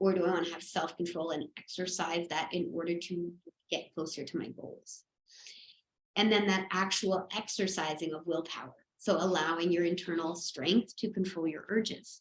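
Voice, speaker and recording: A woman speaks at a moderate pace in a plain, everyday voice. Her pitch is fairly low and her intonation fairly even. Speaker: breathwork and mindfulness teacher. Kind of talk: online workshop lecture.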